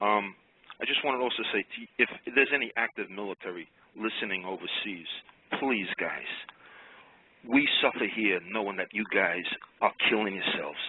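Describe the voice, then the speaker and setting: With an American accent, a man moves at a fairly quick pace with ordinary pitch variation but takes long, frequent pauses. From Long Island, New York. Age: 60s. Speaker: caller, garbage man. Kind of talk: call-in radio talk. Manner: emotional, rambling.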